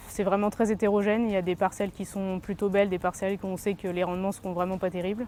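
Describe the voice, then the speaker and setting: A woman's medium-pitched voice comes through with music in the background. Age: 30s. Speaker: farmer. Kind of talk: interview. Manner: hesitant, with many fillers.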